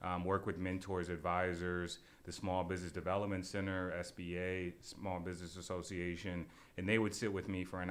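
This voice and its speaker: A man with a very deep, low pitch and an American accent talks at a fairly quick pace in a flat monotone, with audible room echo around him. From US Midwest, Shaker Heights near Cleveland, Ohio. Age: 20s. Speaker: food entrepreneur. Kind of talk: casual interview.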